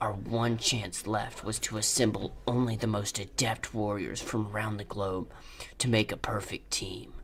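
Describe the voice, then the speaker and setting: A man's monotone, flat intonation over clear background noise. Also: fairly low pitch for a man, moderate pace. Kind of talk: hard-boiled voice-over. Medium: solo performance. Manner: gruff, solemn.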